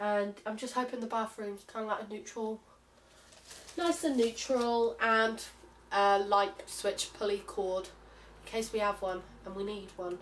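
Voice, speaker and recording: Ordinary pitch variation runs through this voice with a British accent. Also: woman. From United Kingdom. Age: young. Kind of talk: casual haul vlog to camera.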